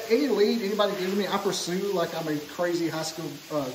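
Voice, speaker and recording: Speaking fairly quickly in an Alabama accent, a man with a high pitch and ordinary pitch variation is heard over light background noise with audible room echo. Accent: Southern US (Alabama). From Scottsboro, Alabama. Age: 40s. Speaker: podcast host. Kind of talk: casual chat. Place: hall. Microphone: phone near.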